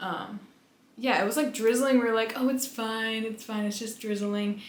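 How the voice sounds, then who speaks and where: Mumbled speech with fairly even intonation, set against noticeable background noise and audible room echo. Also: woman, fairly high pitch for a woman, moderate pace. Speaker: vlogger. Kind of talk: casual chat. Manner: mumbling.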